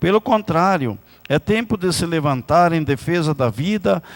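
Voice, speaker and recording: Using a normal speaking voice, a man talks at a fairly slow pace with a fairly high pitch and lively intonation. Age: 60s. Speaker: city councillor. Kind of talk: political speech. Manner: formal.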